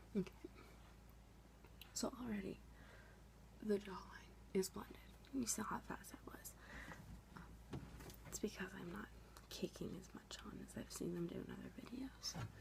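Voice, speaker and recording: A soft-spoken woman is whispering at a moderate pace, with big swings in loudness, long, frequent pauses, and noticeable background noise. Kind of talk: ASMR makeup session, soft-spoken tutorial to camera. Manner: soft-spoken, whispery.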